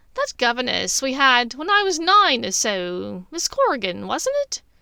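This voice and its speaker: In a put-on character voice, a woman speaks fairly slowly at a high pitch. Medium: read story. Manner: sharp, probing.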